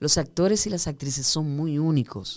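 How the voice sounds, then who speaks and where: With a Dominican accent, a woman speaks in a very deep, low pitch with ordinary pitch variation in a very clean recording with a silent background. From Dominican Republic, Puerto Plata. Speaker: theatre director and actress. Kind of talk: casual interview. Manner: animated.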